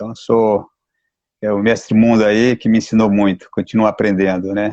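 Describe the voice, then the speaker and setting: A man with a dark, mellow tone and fairly low pitch talks at a moderate pace in monotone, flat intonation. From Mato Grosso do Sul, Brazil (Campo Grande). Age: 60s. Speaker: capoeira master. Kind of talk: live stream interview.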